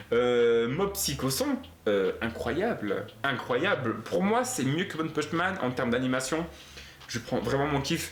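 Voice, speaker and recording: A man speaks very slowly at a fairly high pitch with lively intonation and very even loudness. Audible room echo and noticeable background noise surround him. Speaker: anime youtuber. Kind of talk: casual video commentary. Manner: animated.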